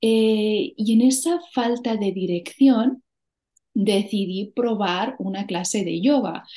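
Very slowly, a woman speaks in a fairly high, dark and mellow voice with ordinary pitch variation. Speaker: yoga teacher. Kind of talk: interview. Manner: stutter; calm.

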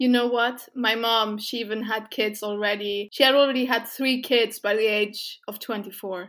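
A plain, everyday voice from a woman, fairly high in pitch, with fairly even intonation, a moderate pace and hardly any pauses, on a very clean recording with a silent background. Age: 20s. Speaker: podcast co-host. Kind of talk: casual chat.

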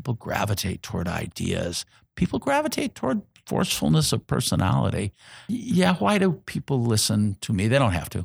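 This voice has vocal fry and very wide pitch swings. It speaks with an American accent. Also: man. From Indianapolis, Indiana, US Midwest. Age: 60s. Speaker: community organizer and retired engineer. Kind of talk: interview. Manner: halting, many fillers.

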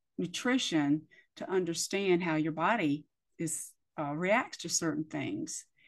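A woman with an American accent speaks in an unremarkable speaking voice, fairly low in pitch and fairly even in intonation. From US, military bases. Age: 50s. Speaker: podcast host. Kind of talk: casual interview chat.

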